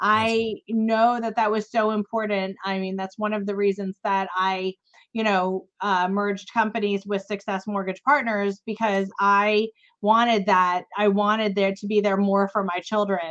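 A woman of medium pitch speaks at a fairly slow pace in a monotone, flat intonation. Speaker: podcast host. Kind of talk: casual interview chat.

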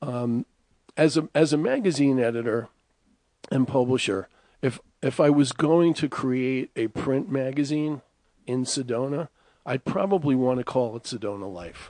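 A man with a New York accent speaks at medium pitch in a dark, mellow tone, with ordinary pitch variation and a moderate pace broken by long, frequent pauses. The sound is dry and close, with no echo. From Bronx, New York. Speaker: radio host. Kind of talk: radio show hosting.

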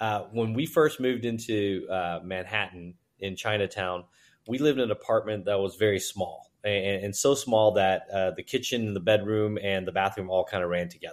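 In a very clean recording with a silent background, a man with a fairly low pitch talks at a moderate pace in an ordinary speaking voice, using ordinary pitch variation. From China, raised in US (New York, Houston). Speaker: entrepreneur and investor. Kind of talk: interview conversation. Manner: fluent but with many filler words.

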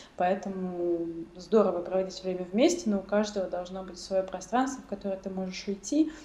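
There is noticeable background noise as a woman talks. She speaks at a medium pitch and a fairly quick pace. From Russia, central Moscow. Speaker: refugee guest. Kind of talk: casual chat.

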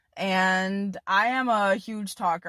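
A woman speaks in an ordinary speaking voice at a medium pitch, with fairly even intonation. The recording is very clean and dry, close with no echo, over a silent background. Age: 20s. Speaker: podcast host and portrait photographer. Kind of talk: solo casual monologue. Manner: chatty.

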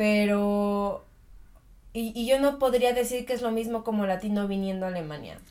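A woman with a Mexican accent speaks at a moderate pace, her fairly high voice dark and mellow in tone. Her pitch varies in an ordinary way. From Mexico. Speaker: podcast co-host. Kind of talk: casual chat.

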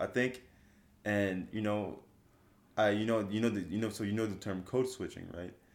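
Pausing often and at length, a man with a slight French accent talks at a moderate pace in a fairly low pitch with fairly even intonation. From France. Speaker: trainee pilot. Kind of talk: casual chat.

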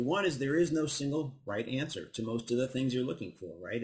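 This man's voice is somewhat breathy, with a medium pitch. His intonation is lively. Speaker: physicist and author. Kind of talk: interview. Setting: studio with live audience.

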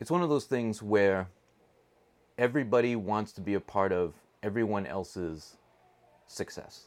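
The speaker keeps a moderate pace with ordinary pitch variation and long, frequent pauses. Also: man. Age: 40s. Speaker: school staff podcast host. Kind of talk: casual chat. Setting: studio.

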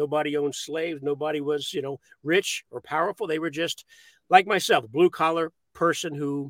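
A normal speaking voice with an American accent moves at a moderate pace with fairly even intonation. The sound is dry and close with no echo, in a very clean recording with a silent background. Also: man, fairly high pitch for a man. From Maryland, US. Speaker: actor and producer, military veteran. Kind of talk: casual interview chat.

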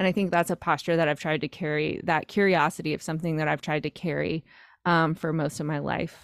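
With an American accent, a woman speaks at a fairly quick pace in a very deep, low pitch and a monotone, flat intonation, the very clean recording dry and close with no echo and a silent background. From North Carolina, rural. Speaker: podcast host and singles coach. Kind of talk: casual interview chat.

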